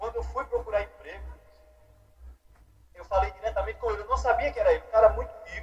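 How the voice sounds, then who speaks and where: Speaking at a very fast pace, a man with a northeastern Brazilian accent is heard over noticeable background noise. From Alagoas, Brazilian Northeast. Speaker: podcast guest, speaker. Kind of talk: casual interview storytelling.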